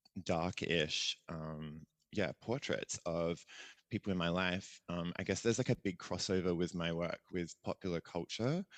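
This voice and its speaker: Against a quiet background, a man with an Australian accent talks at a fairly slow pace in a very deep, low pitch with ordinary pitch variation, the sound dry and close with no echo. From Australia, Adelaide. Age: 30s. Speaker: visual artist and performer. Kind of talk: podcast interview. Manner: casual, hesitant with many fillers.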